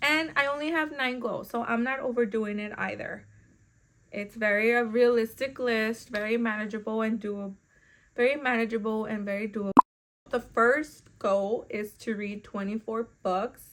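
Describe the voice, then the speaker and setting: In a Spanish accent, the speaker goes at a fairly slow pace with ordinary pitch variation. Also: woman. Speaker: book vlogger. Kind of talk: casual chat.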